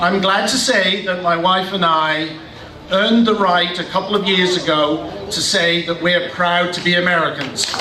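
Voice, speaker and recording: A man with a British accent talks at a moderate pace with fairly even intonation, amid audible room echo and noticeable background noise. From Britain. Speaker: political rally speaker. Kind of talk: political rally speech.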